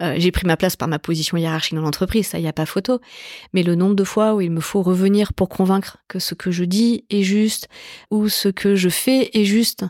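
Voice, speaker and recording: An unremarkable speaking voice, a woman's at medium pitch, moves at a moderate pace with ordinary pitch variation, in a dry, close sound with no echo on a very clean recording with a silent background. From Paris southern suburbs, Évry. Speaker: tech company executive. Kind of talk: interview conversation. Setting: in the guest's office.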